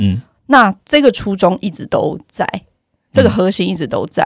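Recorded very cleanly against a silent background, a woman speaks at a moderate pace in a dry, close sound with no echo. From Taiwan, Yilan. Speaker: company founder, economist. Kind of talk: casual interview chat. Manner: loud.

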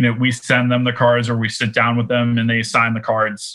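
The speaker has an American accent and a moderate pace. Their intonation is monotone and flat. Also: man. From Boston, US. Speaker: head of marketing at a trading card company. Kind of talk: podcast interview.

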